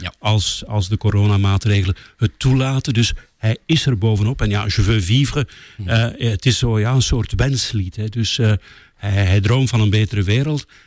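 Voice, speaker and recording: This man has a fairly low pitch and a somewhat breathy voice. His pitch varies in an ordinary way. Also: moderate pace. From West Flanders, Belgium. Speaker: political radio journalist. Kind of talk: casual interview.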